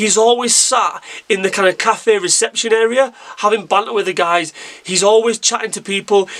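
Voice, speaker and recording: Noticeable background noise accompanies a high-pitched man speaking at a moderate pace. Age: 30s. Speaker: football fan YouTuber. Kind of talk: casual vlog commentary. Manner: animated, with frequent repetitions.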